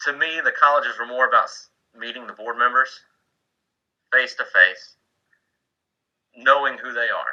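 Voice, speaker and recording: This man has a Southern US accent. He speaks at a moderate pace. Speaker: Coast Guard senior chief mentoring board candidates. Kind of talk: informal mentoring talk on a video call. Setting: online video meeting from home man cave. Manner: casual, with many fillers and restarts.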